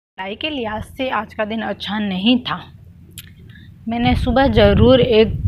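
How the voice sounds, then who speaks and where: A woman speaks at a fairly high pitch with ordinary pitch variation against noticeable background noise. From Rajasthan, Marwar region. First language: Marwari (speaking Hindi). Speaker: exam aspirant vlogger. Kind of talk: casual vlog talk. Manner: chatty, rambling.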